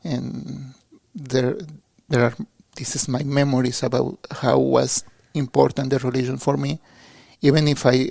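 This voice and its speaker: A man with a Mexican accent speaks at a fairly slow pace, leaving long, frequent pauses. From Mexico, suburb of Mexico City. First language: Spanish. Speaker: seminarian. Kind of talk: interview. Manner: halting.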